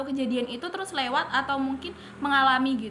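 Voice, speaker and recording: A woman projects a raised voice at a high pitch and a moderate pace. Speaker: university student interviewer. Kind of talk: student podcast interview.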